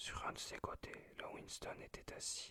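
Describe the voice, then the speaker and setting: A whispered voice moves along at a fairly slow pace. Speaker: ASMR creator. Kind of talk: reading aloud. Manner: whispering; halting, self-correcting.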